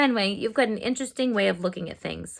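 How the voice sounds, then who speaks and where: A put-on character voice, female-sounding and raspy, fairly high in pitch for a woman, at a very fast clip. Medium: read story.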